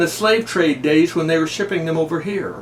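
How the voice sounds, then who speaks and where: Against noticeable background noise, a man with high pitch speaks with lively intonation. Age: 70s. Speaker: YouTuber. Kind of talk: personal video message. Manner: folksy, conversational.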